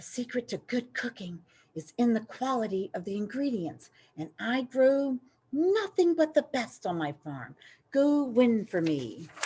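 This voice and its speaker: A woman's squeaky, put-on character voice, high in pitch with very wide pitch swings, at a moderate pace on a very clean recording with a silent background. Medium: read story. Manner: warm, encouraging.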